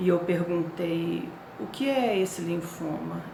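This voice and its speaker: Noticeable background noise and audible room echo surround a woman speaking in a fairly low pitch. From Brazil, Rio de Janeiro. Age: 60s. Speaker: cancer patient sharing her story. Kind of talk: personal testimony. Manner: hesitant, with fillers.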